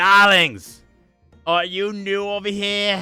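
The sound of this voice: A man puts on a raspy character voice, high-pitched, with monotone, flat intonation at a very slow pace. Faint music plays in the background. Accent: New York.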